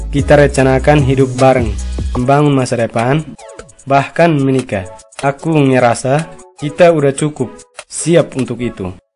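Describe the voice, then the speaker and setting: A man at medium pitch and a moderate pace, with music in the background. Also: ordinary pitch variation. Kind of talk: staged romantic conversation, marriage proposal.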